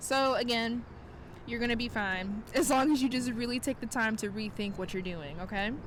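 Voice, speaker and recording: A woman's fairly high voice with a Southern US accent, ordinary pitch variation and a moderate pace. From South Carolina. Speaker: tarot reader and astrologer. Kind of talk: casual talk to camera. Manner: casual, chatty.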